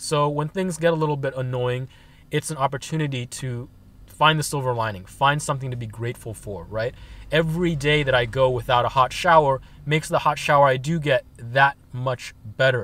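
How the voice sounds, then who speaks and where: The man's delivery is fairly quick, and his pitch varies in an ordinary way. No echo colors the dry sound. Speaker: van-life vlogger. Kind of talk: casual vlog chat. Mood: calm, reflective. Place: car. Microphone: phone near.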